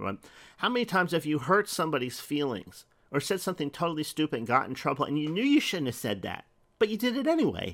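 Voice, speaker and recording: Very fast and with vocal fry, a man's fairly high voice makes very wide pitch swings on a very clean recording with a silent background. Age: 50s. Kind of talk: devotional teaching monologue. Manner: halting, many fillers.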